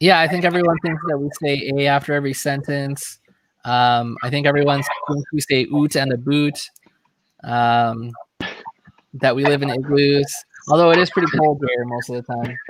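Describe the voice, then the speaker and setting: Long, frequent pauses break up this speech in a Michigan accent. The intonation stays fairly even. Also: man, fairly high pitch for a man, moderate pace. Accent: sounds like someone from Michigan. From Canada (Toronto area). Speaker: beard product reviewer. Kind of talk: casual chat. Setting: live stream video call.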